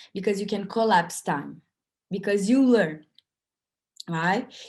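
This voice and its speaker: Speaking at a fairly slow pace, a woman with a non-native accent uses a medium pitch. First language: not English. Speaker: workshop speaker. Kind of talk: online festival talk.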